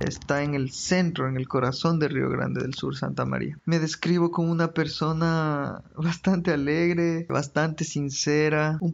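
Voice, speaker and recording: Here a man is speaking. His pace is fairly slow. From Ecuador, Quito. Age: 30s. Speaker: migrant graduate student. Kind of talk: interview testimony.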